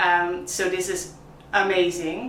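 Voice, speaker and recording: A woman with a Dutch accent, amid noticeable background noise and audible room echo. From Netherlands. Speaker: coffee vlogger, barista. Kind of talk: product review vlog. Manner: animated.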